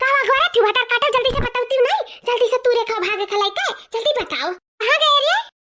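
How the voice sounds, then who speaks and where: A cartoonish character voice at a fairly quick pace. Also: woman. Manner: fast, chattering.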